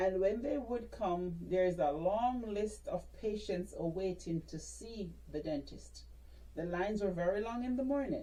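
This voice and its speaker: A woman with a Jamaican accent speaks at a fairly slow pace amid audible room echo. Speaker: dentist. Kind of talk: interview. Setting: podcast.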